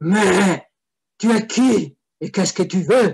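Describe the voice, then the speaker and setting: A raspy, put-on character voice at a middle pitch and a fairly slow pace. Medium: read story. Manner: menacing, shouting.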